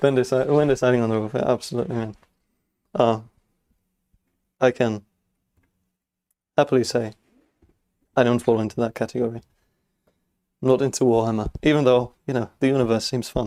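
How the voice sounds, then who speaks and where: Mumbling at a fairly quick pace, a man with a dark, mellow tone and medium pitch keeps his intonation fairly even and leaves long, frequent pauses. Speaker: LEGO builder streamer. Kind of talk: live stream chat while building. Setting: workshop. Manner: fast; occasionally mumbling.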